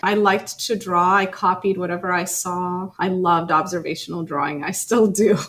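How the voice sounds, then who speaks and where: A woman speaks at a medium pitch with a slight Ethiopian accent. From Ethiopia, then US Midwest from age nine. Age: 30s. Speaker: art teacher. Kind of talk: casual interview.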